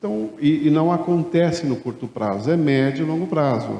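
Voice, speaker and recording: A man at a fairly slow pace, ordinary pitch variation, audible room echo. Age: 60s. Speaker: retired accountant turned café franchise owner. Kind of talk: conference talk.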